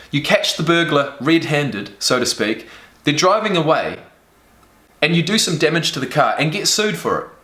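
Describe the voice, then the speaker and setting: Pausing long and often, a man speaks in a high voice with a New Zealand accent. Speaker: reaction video creator. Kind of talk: casual reaction commentary. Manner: animated.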